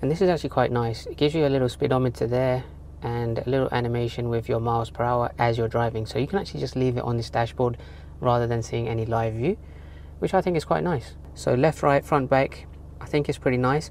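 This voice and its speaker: Very fast and very deep, a woman speaks with vocal fry and very wide pitch swings. The sound is dry with no echo over light background noise. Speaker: gadget reviewer. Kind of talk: product review tutorial. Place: car. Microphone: phone near.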